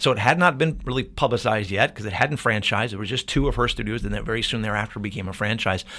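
On a very clean recording with a silent background, a man with an American accent speaks very fast with hardly any pauses, his fairly low, bright, sharp voice carrying vocal fry and ordinary pitch variation. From Ohio, US Midwest. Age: 40s. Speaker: fitness franchise owner and strength coach. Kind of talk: interview conversation. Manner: halting, many fillers.

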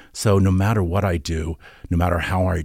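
Captured on a very clean recording with a silent background, a somewhat breathy voice speaks in an American accent. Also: man. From Norfolk, Virginia. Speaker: costume designer and visual artist. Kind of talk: interview.

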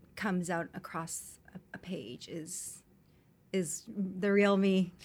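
In a very clean recording with a silent background, a woman talks with a Canadian accent. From Canada (Vancouver). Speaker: entrepreneur. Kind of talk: interview. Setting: studio.

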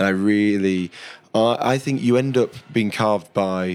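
With a Yorkshire accent, a man speaks at a fairly low pitch. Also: very clean recording, silent background. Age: 30s. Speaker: chef. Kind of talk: casual interview.

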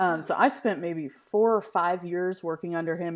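Speaking at a moderate pace with fairly even intonation, a woman has an ordinary speaking voice on a very clean recording with a silent background. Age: 30s. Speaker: filmmaker and pastor. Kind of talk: casual interview.

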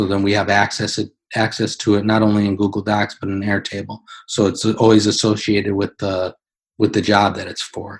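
On a very clean recording with a silent background, a man with an American accent speaks at a fairly quick pace. His fairly low voice stays monotone and flat. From US Midwest, Wisconsin. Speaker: CNC machinist and software consultant. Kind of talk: interview with screen-share walkthrough.

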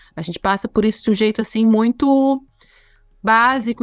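A woman speaks at a high pitch and fairly quick pace with ordinary pitch variation, in a very clean recording with a silent background and a dry, close sound with no echo. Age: 30s. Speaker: diversity and inclusion consultant and lecturer. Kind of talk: educational podcast interview.

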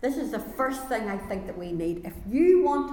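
With lively intonation, a woman talks at a moderate pace as noticeable background noise plays behind her. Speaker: preacher. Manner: fervent, exhorting.

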